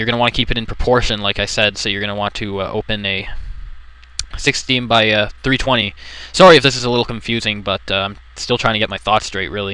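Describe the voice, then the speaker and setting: A man's medium-pitched voice, very fast and fairly even in intonation, over noticeable background noise. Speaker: let's play commentator. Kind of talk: software tutorial commentary. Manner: hesitant, rambling.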